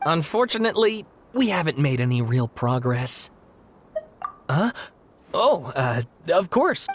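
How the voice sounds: A put-on character voice from a man, fairly high in pitch, with big pitch swings and a slightly husky edge. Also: fairly slow pace.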